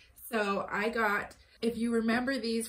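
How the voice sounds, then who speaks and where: A woman is speaking. Her pace is fairly slow. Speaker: mom vlogger. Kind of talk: casual vlog chat. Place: home room. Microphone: phone near.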